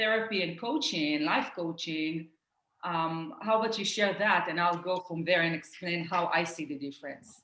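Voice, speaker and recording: A woman with an Israeli accent talks at a moderate pace. Her pitch is medium, with ordinary variation. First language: Hebrew. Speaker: life coach. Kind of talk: casual chat.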